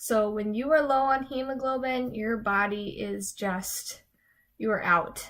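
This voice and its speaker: The speaker mumbles at a fairly slow pace with ordinary pitch variation. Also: woman, fairly high pitch for a woman. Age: 20s. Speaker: nurse practitioner student; runner. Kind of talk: casual talk to camera. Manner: mumbling.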